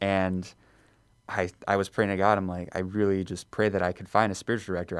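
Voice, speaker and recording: With an American accent, a man talks at a very fast pace in a fairly low pitch. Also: very clean recording, silent background. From Chicago suburbs, Illinois. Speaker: seminarian. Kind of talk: radio interview.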